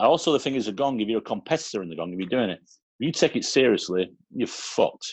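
A man with a Manchester accent races along at a very fast pace with lively intonation and a medium pitch, in a dry, close sound with no echo against a quiet background. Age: 50s. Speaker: comedian. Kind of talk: casual chat.

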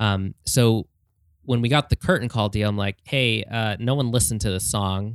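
This man has a plain, everyday voice at medium pitch, speaking at a moderate pace with ordinary pitch variation, in a very clean recording with a silent background and a dry, close sound with no echo. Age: 30s. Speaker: pop-punk musician. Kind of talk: casual chat. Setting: studio.

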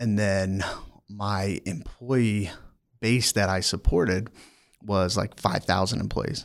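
Someone with an American accent speaks very slowly, with long, frequent pauses, in a very clean recording with a silent background. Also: man. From Maryland, near Annapolis. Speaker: human resources professional. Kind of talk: casual interview. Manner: halting, many fillers.

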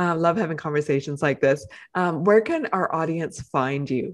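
A woman with a normal speaking voice, fairly low in pitch, talks at a moderate pace with lively intonation against a quiet background. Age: 50s. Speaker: podcast host. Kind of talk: interview.

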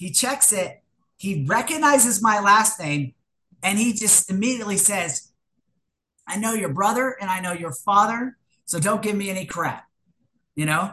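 With a bright, sharp tone and lively intonation, a woman at medium pitch talks at a moderate pace, leaving long, frequent pauses. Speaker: recovering alcoholic AA speaker. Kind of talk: testimony. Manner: unscripted, hesitant with repetitions.

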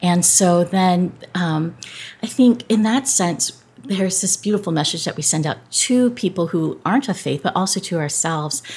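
Somewhat breathy, a woman with an American accent speaks at a moderate pace and medium pitch with ordinary pitch variation. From Southern California. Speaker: pastor. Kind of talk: interview.

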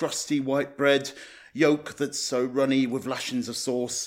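A man with a normal speaking voice and a fairly high pitch talks at a fairly slow pace. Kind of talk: poem performed, comic rhyming verse about food cravings. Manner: bouncy, playful rhyming delivery with a North East lilt.

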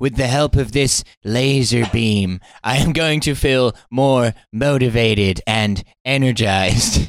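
Using a put-on character voice of medium pitch, a man speaks at a fairly slow pace. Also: ordinary pitch variation, very even loudness. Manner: smug, villainous motivational.

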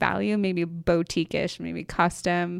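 In an American accent, a woman speaks at a fairly slow pace and a medium pitch. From Michigan. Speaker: interior designer and studio founder. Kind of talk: casual interview chat.

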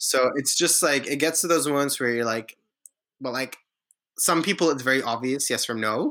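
A man's bright, sharp tone, fairly high in pitch, with ordinary pitch variation and a moderate pace. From Lebanon. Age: 20s. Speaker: recent graduate working in talent attraction. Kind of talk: casual chat. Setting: video call.

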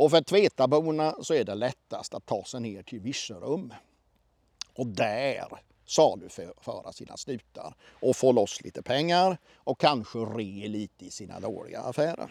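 Using a normal speaking voice, a man talks fairly slowly at a medium pitch, with lively intonation and big swings in loudness. The recording is very clean and dry, close-sounding with no echo, over a silent background. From Småland, near Oskarshamn, Sweden. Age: 50s. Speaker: storyteller and local heritage consultant. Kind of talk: storytelling interview. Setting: outdoors in a parking lot.

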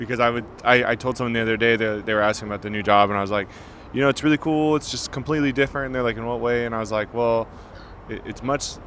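Over noticeable background noise, a man talks very fast with fairly even intonation. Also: medium pitch for a man. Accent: American. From California. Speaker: chef. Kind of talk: casual chat.

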